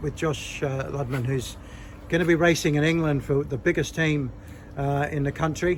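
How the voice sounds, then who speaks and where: Noticeable background noise surrounds this recording. A man with an Australian accent talks at a moderate pace in a fairly high pitch. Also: fairly even intonation. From Australia, Nowra, New South Wales. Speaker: cycling interviewer, former amateur racer. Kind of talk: casual interview.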